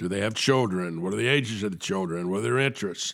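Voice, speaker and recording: A man's fairly low voice moves with ordinary pitch variation. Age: 60s. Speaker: podcast host and sponsorship marketing consultant. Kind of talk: casual interview and solo business commentary. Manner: conversational, hesitant with filler words.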